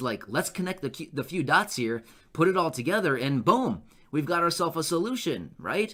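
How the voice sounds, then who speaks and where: Fairly high male voice with vocal fry, a bright, sharp tone, lively intonation and a fairly quick pace. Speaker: YouTube news commentator. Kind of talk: casual video update. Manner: stutters at times; conversational, unedited with fillers.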